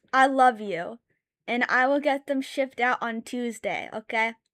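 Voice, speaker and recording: A woman raises and projects her high-pitched voice with an animated, bright, sharp tone. The sound is dry and close, with no echo. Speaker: streamer and artist. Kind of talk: casual live stream chat while drawing. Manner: loud, yelling at times.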